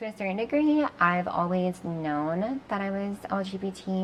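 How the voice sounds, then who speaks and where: With a General American accent and an ordinary speaking voice, a woman talks at a moderate pace with ordinary pitch variation. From Oregon, USA. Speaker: model. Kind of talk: interview answer.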